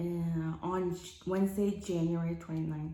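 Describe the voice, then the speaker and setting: A woman with a fairly low pitch. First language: not English. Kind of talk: personal testimony to camera. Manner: halting, many fillers.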